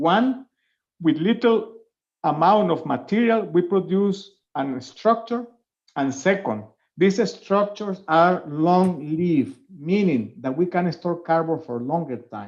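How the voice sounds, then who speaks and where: A high-pitched man in a Spanish accent, very slow, with lively intonation. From Venezuela. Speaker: professor. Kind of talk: webinar Q&A. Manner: hesitant, with fillers.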